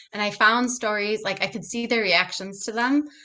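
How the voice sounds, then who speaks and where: With an Upper Midwest accent, a woman speaks at a moderate pace. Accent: Upper Midwest American. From Minnesota, USA. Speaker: picture book writer and former pre-K teacher. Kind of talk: podcast interview answer. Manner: casual, chatty.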